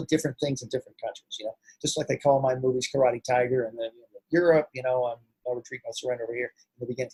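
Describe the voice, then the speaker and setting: In a General American accent, a man speaks with a fairly high pitch and ordinary pitch variation. His voice is somewhat breathy, and the sound is dry and close with no echo. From Los Angeles, US. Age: 50s. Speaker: actor and martial arts master. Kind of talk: interview.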